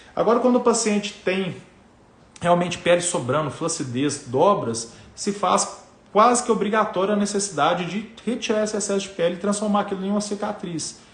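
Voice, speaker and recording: In a room with audible echo, a man with a high pitch speaks with lively intonation. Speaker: plastic surgeon. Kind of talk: live stream talk to viewers. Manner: fast; casual, filler-heavy.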